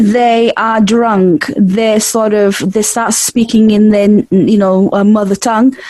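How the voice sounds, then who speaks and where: A woman speaks at a very slow pace and a fairly high pitch over noticeable background noise. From Portugal. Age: 30s. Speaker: podcast host. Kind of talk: casual chat.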